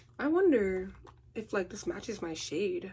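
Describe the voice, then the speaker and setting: A woman's medium-pitched voice carries vocal fry and a dark, mellow tone. She moves through very wide pitch swings at a fairly slow pace. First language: not English. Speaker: beauty vlogger. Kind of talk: casual vlog rant while installing a wig. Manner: animated.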